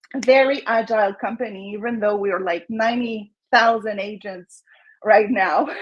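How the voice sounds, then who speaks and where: At a moderate pace, a woman with a slight French Canadian accent speaks at a fairly high pitch with ordinary pitch variation. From Quebec, Montreal. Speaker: real estate agent. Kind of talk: casual interview.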